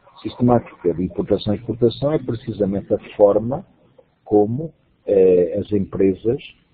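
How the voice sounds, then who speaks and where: A man talks at a fairly slow pace in a somewhat breathy voice. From Portugal. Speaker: university lecturer and course coordinator. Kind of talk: online lecture. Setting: web conference.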